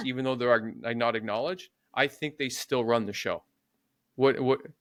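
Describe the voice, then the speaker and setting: A man's unremarkable speaking voice at a medium pitch and moderate pace, with ordinary pitch variation and a dry, close sound with no echo. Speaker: podcast host. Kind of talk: podcast interview, conversational.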